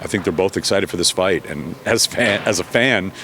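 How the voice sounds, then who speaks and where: Over noticeable background noise, a man talks at a very fast pace in a very deep, low voice. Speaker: boxing ring announcer. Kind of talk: interview answer.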